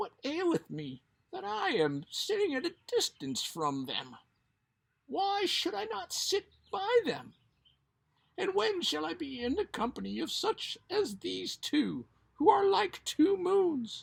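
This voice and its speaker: The speaker puts on a character voice at a high pitch. The pace is fairly slow. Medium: read story.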